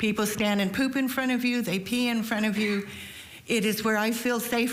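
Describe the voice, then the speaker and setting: There's audible echo from the room. The voice belongs to a woman. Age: 70s. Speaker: public commenter at county meeting. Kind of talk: public comment. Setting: public board meeting.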